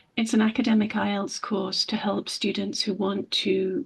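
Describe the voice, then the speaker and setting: Noticeable background noise sits under this recording. A woman speaks at a moderate pace. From England. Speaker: English teacher. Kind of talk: interview.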